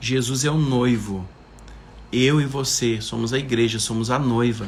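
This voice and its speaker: A man speaks at a medium pitch and a fairly slow pace, in a monotone, flat intonation. Audible room echo surrounds his voice. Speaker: preacher. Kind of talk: livestream sermon. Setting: live stream.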